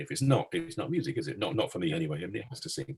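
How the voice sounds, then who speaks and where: The speaker uses an English accent and vocal fry at a very fast pace. The pitch swings very widely. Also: man. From England. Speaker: concert organist. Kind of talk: interview. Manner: halting.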